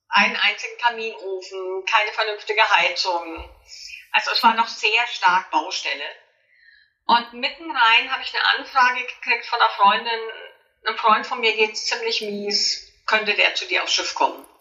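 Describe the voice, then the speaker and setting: Her pitch fairly high, a woman with an unremarkable speaking voice talks at a moderate pace with ordinary pitch variation. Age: 50s. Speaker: author and coach. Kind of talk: interview.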